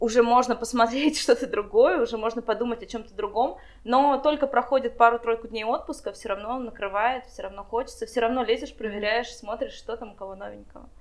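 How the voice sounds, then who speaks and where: A woman speaks at a moderate pace with ordinary pitch variation. Hers is an unremarkable speaking voice, fairly high in pitch. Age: 20s. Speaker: wedding planner. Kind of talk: casual interview.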